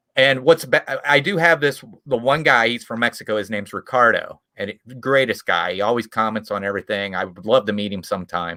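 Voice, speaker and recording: A man's medium-pitched voice with a Midwestern accent, fairly quick and with hardly any pauses, lively in intonation, in a dry, close sound with no echo. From US Midwest, small town in Indiana. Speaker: YouTube creator. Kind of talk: casual chat.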